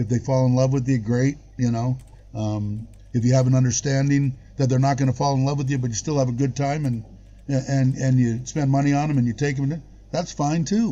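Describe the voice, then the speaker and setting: Somewhat breathy speech at a fairly quick pace, with very even loudness and fairly even intonation. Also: man, medium pitch for a man. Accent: American. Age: 60s. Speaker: expat living in Thailand, live-stream host. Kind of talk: casual chat on a live stream.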